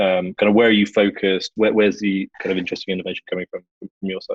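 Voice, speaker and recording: A man talks with a British accent. His pace is very fast. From London, England. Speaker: podcast host. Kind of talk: casual podcast chat.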